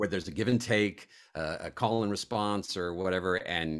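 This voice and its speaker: Vocal fry runs through the man's speech, captured on a very clean recording with a silent background. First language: other than English. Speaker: actor and voice actor. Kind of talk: casual interview chat. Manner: halting with many fillers.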